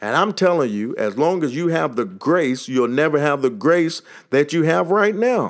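With a Texas accent, a man talks at a moderate pace, his pitch swinging very widely. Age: 40s. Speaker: motivational podcaster. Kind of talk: motivational monologue.

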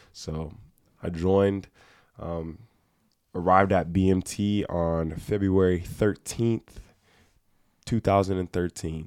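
On a very clean recording with a silent background, a man speaks in an American accent with a very deep, low pitch. His delivery is very slow and monotone, with flat intonation and long, frequent pauses. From Ohio, Cleveland area. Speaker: Air Force training instructor. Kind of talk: casual chat.

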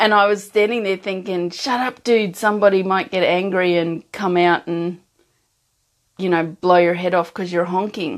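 A woman speaks with an Australian accent at a moderate pace and medium pitch. Her intonation stays fairly even over a quiet background. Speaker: emotional strength coach. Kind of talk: live-streamed talk to viewers. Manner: casual, with frequent laughs and fillers.

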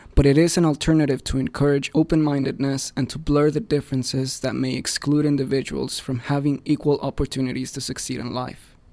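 The speaker has a Spanish accent and a dark, mellow tone with monotone, flat intonation. The pace is fairly quick, with hardly any pauses. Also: man, fairly high pitch for a man. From Mexico City, Mexico. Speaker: student newspaper editor. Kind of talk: scripted narration. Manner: formal.

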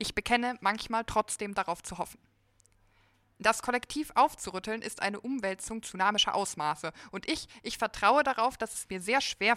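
A bright, sharp tone with big swings in loudness comes at a moderate pace and ordinary pitch variation, recorded very clean and dry, close with no echo, against a silent background. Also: woman. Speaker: writing competition participant. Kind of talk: reading aloud. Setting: stage with audience.

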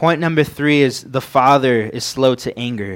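Over a silent background in a very clean recording, a man with an American accent and a plain, everyday voice speaks at a moderate pace, pitched fairly high with ordinary pitch variation. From Southern California. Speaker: young preacher. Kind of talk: sermon. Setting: church with microphone.

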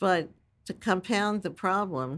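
In a very clean recording with a silent background, a woman with an American accent speaks with very wide pitch swings. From New York City, Staten Island. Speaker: patent trial attorney. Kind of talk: interview.

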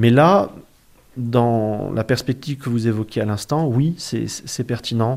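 On a very clean recording with a silent background, a man at medium pitch speaks at a very slow pace. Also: ordinary pitch variation. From southern France. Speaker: historian. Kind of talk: interview. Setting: dining room table at home.

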